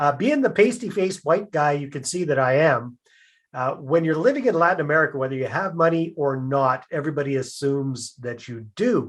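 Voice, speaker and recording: Against a quiet background, a man with a normal speaking voice and a Canadian accent talks at a fairly high pitch and a fairly quick pace with lively intonation. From Canada. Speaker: real estate investor. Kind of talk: podcast interview.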